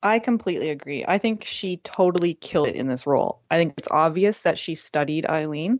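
A woman's plain, everyday voice at a fairly quick pace, with hardly any pauses. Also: fairly low pitch for a woman, lively intonation. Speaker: film critic. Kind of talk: casual chat.

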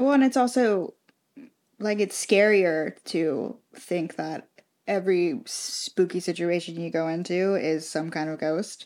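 At a fairly slow pace, a woman talks in a normal speaking voice, fairly low in pitch, with ordinary pitch variation. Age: 20s. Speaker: podcast co-host. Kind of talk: casual chat.

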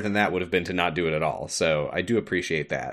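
Against a quiet background, a man with vocal fry speaks at a fairly quick pace. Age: 20s. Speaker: podcast co-host. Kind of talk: casual chat.

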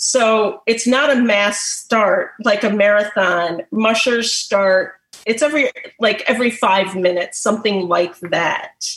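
A woman in a normal speaking voice, fairly high in pitch with ordinary pitch variation, at a fairly slow pace and very even loudness. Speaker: pet massage therapist. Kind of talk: presentation.

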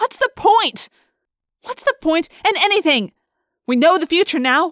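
A woman performs a put-on character voice at an extremely high pitch, with big pitch swings and a fairly bright tone at a fairly slow pace. The sound is dry and close with no echo, on a very clean recording with a silent background.

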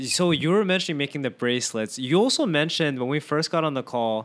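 Speaking in a plain, everyday voice, a man keeps a moderate pace, a fairly high pitch and lively intonation. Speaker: podcast host. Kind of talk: casual chat. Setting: remote call.

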